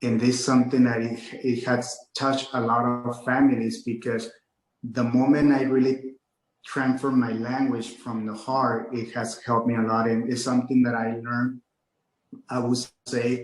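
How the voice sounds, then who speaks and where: A man with a Mexican accent talks at a moderate pace in a monotone, flat intonation. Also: medium pitch for a man. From Mexico-US border, Nuevo Laredo / Laredo, Texas. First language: Spanish. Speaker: real estate agent and motivational speaker. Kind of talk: interview.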